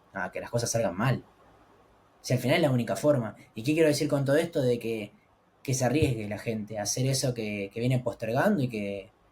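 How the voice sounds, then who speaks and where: A man with a Rioplatense accent, somewhat breathy, at medium pitch with ordinary pitch variation and a fairly quick pace. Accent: Argentine Spanish (rioplatense). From Argentina. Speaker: travel content creator. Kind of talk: interview.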